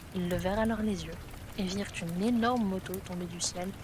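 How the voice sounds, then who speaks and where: Someone soft-spoken talks over noticeable background noise, with audible room echo. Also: woman. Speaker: ASMR creator. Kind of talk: reading aloud.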